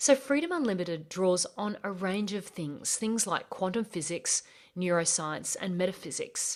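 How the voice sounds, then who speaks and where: With an Australian accent, a woman speaks at medium pitch and a moderate pace with lively intonation. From Australia, rural bush. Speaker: podcast host, life coach. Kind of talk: podcast intro monologue.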